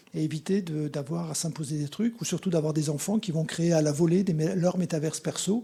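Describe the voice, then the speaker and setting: Dark, mellow tone from a man with a fairly high pitch, at a moderate pace. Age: 60s. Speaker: conference speaker, association representative. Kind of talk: conference talk with Q&A. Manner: halting, many fillers and repetitions.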